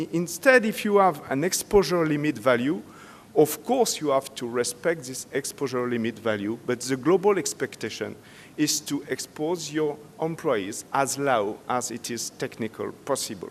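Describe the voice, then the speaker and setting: Lively intonation at a moderate pace. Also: man, fairly high pitch for a man. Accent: French. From France. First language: French. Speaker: safety expert speaker. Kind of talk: conference presentation. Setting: stage with audience. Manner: halting.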